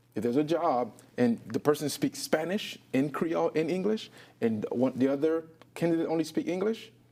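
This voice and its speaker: With lively intonation, a man with a fairly high pitch and a dark, mellow tone speaks at a moderate pace. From Haiti, Petion-ville. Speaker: talk show host. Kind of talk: interview.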